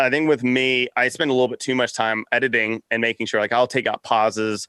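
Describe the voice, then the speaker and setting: A man speaks at a medium pitch with a bright, sharp tone. The recording is very clean, with a silent background and a dry, close sound with no echo. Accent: American. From Texas, Austin. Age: 30s. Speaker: podcast network founder. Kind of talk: casual interview chat. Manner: stuttering, halting; talkative, fast.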